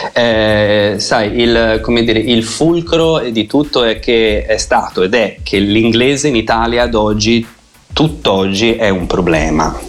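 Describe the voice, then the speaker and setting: Noticeable background noise sits behind a man who speaks very slowly at medium pitch, his loudness very even and his pitch varying in an ordinary way. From Italy, Tuscany (Lucca). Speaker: English teacher. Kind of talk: radio interview.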